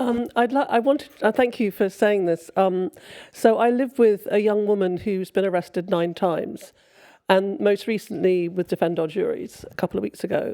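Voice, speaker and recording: The speech moves at a moderate pace. Pitch varies in an ordinary way. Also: woman, medium pitch for a woman. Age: 60s. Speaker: audience member asking a question. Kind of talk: panel Q&A question. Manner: halting.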